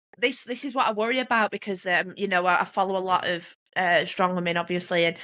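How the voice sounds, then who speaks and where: A woman with a Manchester accent talks at a fairly quick pace in a bright, sharp tone at medium pitch, on a very clean recording with a silent background. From northern England, Oldham, Greater Manchester. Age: 30s. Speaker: strongwoman athlete and nurse. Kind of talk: casual chat. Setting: podcast interview. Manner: animated.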